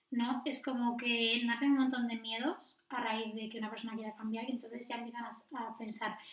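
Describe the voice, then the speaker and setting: Over noticeable background noise, a woman talks at a fairly quick pace in a fairly high pitch with monotone, flat intonation. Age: 20s. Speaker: nurse and midwife. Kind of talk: casual chat.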